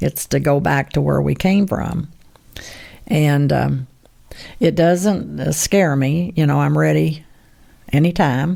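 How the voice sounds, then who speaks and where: A woman speaks at a very slow pace with very even loudness and long, frequent pauses. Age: 80s+. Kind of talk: interview answer.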